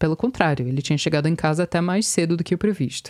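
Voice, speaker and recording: This is a woman with a fairly low-pitched voice. Her tone is dark and mellow. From US, Virginia. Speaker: podcast reporter. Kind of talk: scripted narration.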